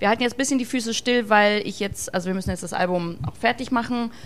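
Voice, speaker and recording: A woman speaks with ordinary pitch variation. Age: young. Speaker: rock singer, band leader. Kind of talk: casual chat.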